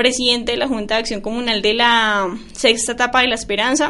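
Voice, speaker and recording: A woman talks at a moderate pace. Her pitch is high and her intonation fairly even. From Colombia, Boyacá. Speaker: university student. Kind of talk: radio interview.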